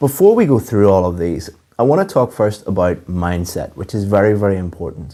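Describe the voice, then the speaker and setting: A man with a fairly low pitch and a dark, mellow tone talks at a fairly quick pace with ordinary pitch variation. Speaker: English teacher. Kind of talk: lecture.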